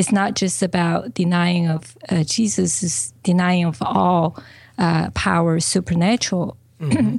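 A woman with a Chinese accent, fairly low-pitched and somewhat breathy, with lively intonation, very even loudness and a fairly slow pace on a very clean recording with a silent background. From China. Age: 40s. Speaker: business coach. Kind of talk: interview.

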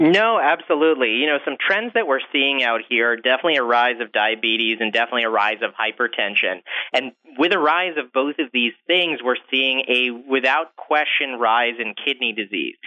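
A normal speaking voice: an American-accented man at medium pitch, with ordinary pitch variation and a moderate pace. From upstate New York. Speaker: physician, kidney specialist. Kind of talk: interview.

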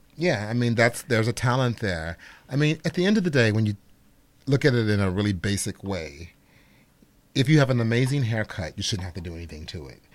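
A man with an American accent talks at a fairly quick pace and a medium pitch, his loudness swinging widely and his pitch swinging very widely. The recording is very clean, with a silent background. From Chicago, Illinois. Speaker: celebrity hairstylist. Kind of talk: casual chat.

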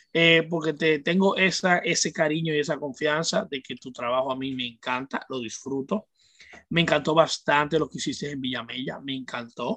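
At a moderate pace, a man with a Dominican accent speaks with a fairly high pitch, a bright, sharp tone and ordinary pitch variation. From Dominican Republic, Santo Domingo. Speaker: music journalist and radio host. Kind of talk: casual chat.

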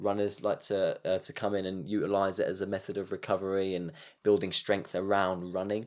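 Over a quiet background, a man speaks fairly quickly at a fairly low pitch with monotone, flat intonation. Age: 30s. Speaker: yoga instructor and studio owner. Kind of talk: casual interview.

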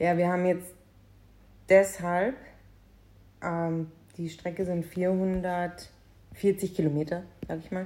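Speaking at a very slow pace with long, frequent pauses, a woman has a fairly low pitch, a dark, mellow tone and monotone, flat intonation. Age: 30s. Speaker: podcast co-host. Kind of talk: casual chat.

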